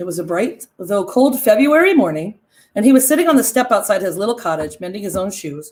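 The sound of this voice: With a quiet background, the speaker reads in an unforced voice.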